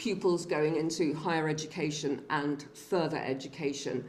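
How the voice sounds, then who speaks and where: A woman talks at a fairly slow pace with a very deep, low pitch and fairly even intonation. Audible room echo and noticeable background noise surround her. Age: 60s. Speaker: public health researcher presenting findings. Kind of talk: seminar presentation.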